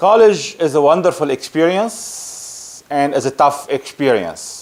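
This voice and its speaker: A man talks fairly slowly in a fairly high pitch, his intonation lively. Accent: Lebanese. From Lebanon. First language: Arabic. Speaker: project management consultant. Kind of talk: casual talk to camera. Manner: halting.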